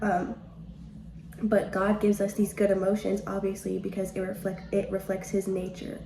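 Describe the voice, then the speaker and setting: A woman at a medium pitch and a fairly quick pace, with audible room echo and noticeable background noise. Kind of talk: devotional podcast talk. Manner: fast; casual, chatty.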